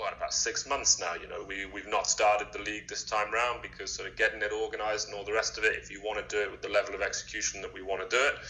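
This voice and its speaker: A man's very fast speech in an English accent, with big swings in loudness and music in the background. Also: hardly any pauses. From England. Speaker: streetwear brand founder. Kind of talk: podcast interview.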